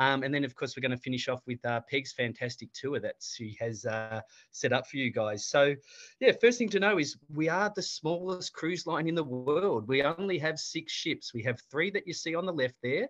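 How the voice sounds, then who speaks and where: With an Australian accent, a man speaks at a moderate pace and a fairly high pitch, his intonation lively. The sound is dry and close with no echo, over a quiet background. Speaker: cruise line regional manager. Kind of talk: webinar presentation.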